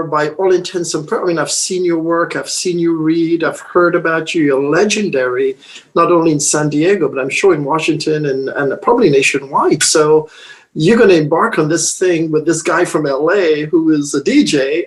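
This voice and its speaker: A man talks at a moderate pace with fairly even intonation and a fairly high pitch. Noticeable background noise sits behind him. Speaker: interviewer host. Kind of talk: interview questions.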